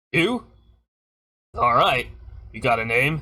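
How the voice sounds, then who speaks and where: Pitched fairly high, a man's put-on character voice carries the lines. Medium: actual play. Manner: boastful, gruff.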